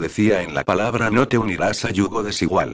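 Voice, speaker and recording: At a moderate pace, a man talks in a fairly low pitch with ordinary pitch variation. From Lima, Peru. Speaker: radio host and author. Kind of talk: testimony; reading aloud.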